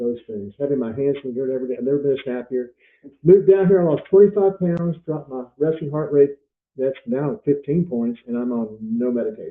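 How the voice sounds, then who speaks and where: Talking fairly quickly in an ordinary speaking voice, a man uses lively intonation at a fairly high pitch. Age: 60s. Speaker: farmer. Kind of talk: casual chat.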